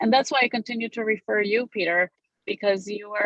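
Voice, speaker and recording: Speaking in a Romanian accent, a woman has a medium pitch. She talks at a fairly quick pace. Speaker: real estate broker. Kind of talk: interview.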